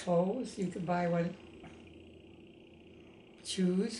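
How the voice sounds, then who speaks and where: A woman's somewhat breathy voice, fairly low in pitch, with fairly even intonation. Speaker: former wartime riveter. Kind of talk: interview answer.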